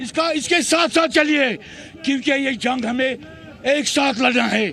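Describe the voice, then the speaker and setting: Over crowd noise in the background, a man speaks in a raised, projected voice. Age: 60s. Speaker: protester. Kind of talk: street interview. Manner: impassioned.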